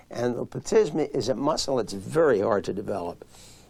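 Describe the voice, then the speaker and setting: A man with a plain, everyday voice speaks at medium pitch. His pace is moderate. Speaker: physician. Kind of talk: interview answer.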